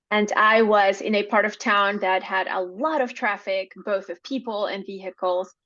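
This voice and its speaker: With a Spanish accent, a woman at medium pitch talks at a moderate pace in a bright, sharp tone, with fairly even intonation and hardly any pauses. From Venezuela. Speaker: podcast guest. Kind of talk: interview storytelling.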